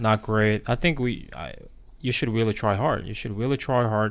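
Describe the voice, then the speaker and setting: A man talks with a Korean accent. His pace is moderate. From South Korea. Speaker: podcast co-host. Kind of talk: casual chat. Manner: halting, many fillers.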